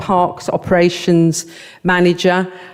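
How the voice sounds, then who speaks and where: A woman's voice amid noticeable background noise. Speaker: local councillor. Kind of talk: committee presentation. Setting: council committee meeting.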